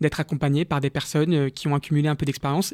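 On a very clean recording with a silent background and a dry, close sound with no echo, a man talks at a fairly quick pace and fairly high pitch in an unremarkable speaking voice. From Paris, France. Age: 30s. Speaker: entrepreneur and social justice activist. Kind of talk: radio interview. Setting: studio.

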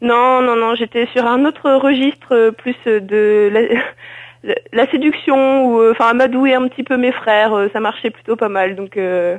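Hardly pausing, a woman speaks at a very slow pace with a fairly high pitch and ordinary pitch variation. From northern France (Nord, Lille). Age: 20s. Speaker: wheelchair basketball player. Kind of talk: interview. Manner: halting, many fillers.

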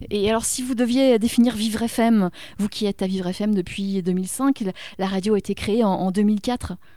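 A woman's medium-pitched voice, dark and mellow in tone, with fairly even intonation and a moderate pace. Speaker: radio host. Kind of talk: casual chat. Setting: studio.

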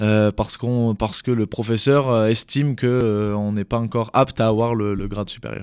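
A man's fairly low voice in a flat monotone, with a dry, close sound, no echo, and a very clean recording over a silent background. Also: moderate pace. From southeastern France (Drôme). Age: 20s. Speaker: judoka. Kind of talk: interview. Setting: studio.

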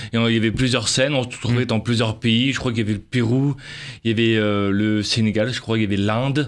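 Talking at a very fast pace in a monotone, flat delivery, a man is heard on a very clean recording with a silent background. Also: medium pitch for a man. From southern France, Avignon. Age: 40s. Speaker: speaker and actor. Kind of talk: interview testimony. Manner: halting.

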